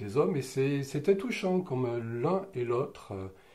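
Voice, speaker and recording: A man's somewhat breathy voice, dark and mellow in tone, with lively intonation at a fairly slow pace. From southern France, Roussillon (Catalan region). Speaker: interviewee sharing life memories. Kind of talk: personal testimony interview. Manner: hesitant, many fillers and restarts.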